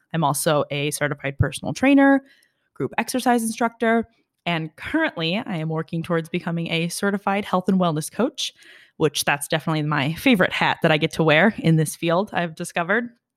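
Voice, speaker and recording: A woman with a plain, everyday voice, fairly low in pitch, talking at a fairly quick pace with lively intonation, in a dry, close, very clean recording with no echo and a silent background. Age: 20s. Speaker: fitness podcast co-host and personal trainer. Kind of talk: casual chat.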